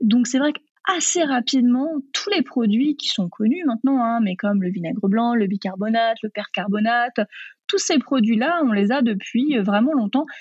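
Her high voice moves at a moderate pace with lively intonation, and the woman's sound is dry and close with no echo. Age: 30s. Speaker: vegan cooking author and trainer. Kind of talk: interview.

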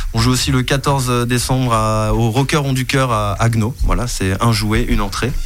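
Amid noticeable background noise and audible room echo, a man speaks at a fairly slow pace with hardly any pauses and very even loudness. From Botswana. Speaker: musician in a rock band. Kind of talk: radio interview.

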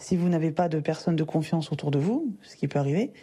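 A woman's somewhat breathy voice, its pitch varying in an ordinary way. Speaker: personal development coach and podcast host. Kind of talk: solo podcast monologue, advice talk. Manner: casual, conversational with fillers.

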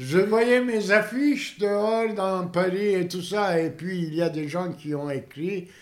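A very slow pace with hardly any pauses and ordinary pitch variation. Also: man, high pitch for a man. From Turkey, Istanbul. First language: Turkish (speaking French). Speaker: theatre director. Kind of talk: interview. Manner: halting.

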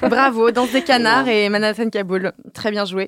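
The voice belongs to a woman. It sounds dry and close, with no echo. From Normandy, France. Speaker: podcast host, community manager. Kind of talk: casual chat.

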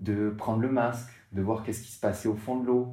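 A man's dark, mellow tone, fairly low in pitch, with fairly even intonation and audible room echo. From southern France, Martigues near Marseille. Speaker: para-surfer, motivational speaker. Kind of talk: interview. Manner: halting, many repetitions.

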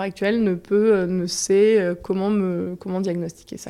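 At a fairly slow pace, a woman speaks with monotone, flat intonation and a dark, mellow tone. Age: 30s. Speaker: physiotherapist. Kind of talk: testimony. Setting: home apartment.

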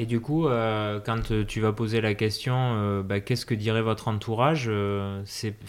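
A man's fairly low voice at a fairly slow pace, with fairly even intonation and hardly any pauses. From southwestern France (Hautes-Pyrénées). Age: 30s. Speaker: podcast host. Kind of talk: casual interview chat. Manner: halting, many hesitations.

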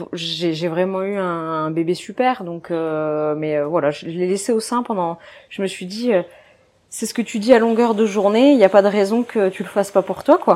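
A woman's fairly low-pitched voice with a dark, mellow tone, ordinary pitch variation and a moderate pace. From northern France, Dunkirk. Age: 20s. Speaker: physiotherapist and mother. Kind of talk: personal testimony interview. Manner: casual, hesitant with fillers.

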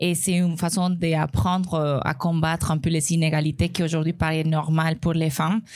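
With a Spanish accent, a woman talks at a fairly low pitch with fairly even intonation, hardly any pauses and very even loudness. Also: moderate pace. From Colombia. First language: Spanish (speaking French). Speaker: restaurant owner and tech employee. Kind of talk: live podcast panel testimony. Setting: live recording before an audience.

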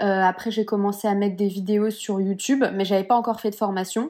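This very clean recording, with a silent background, captures a woman talking at a moderate pace. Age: 20s. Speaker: Pilates teacher and entrepreneur. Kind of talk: casual interview chat. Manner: hesitant, many fillers.

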